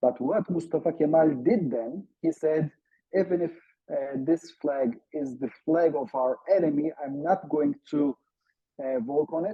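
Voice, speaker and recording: In a Turkish accent, the speaker talks at a fairly slow pace. The pitch shows ordinary variation. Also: man, fairly high pitch for a man. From Turkey. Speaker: academic researcher. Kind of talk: online seminar talk. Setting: video call. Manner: halting with many fillers.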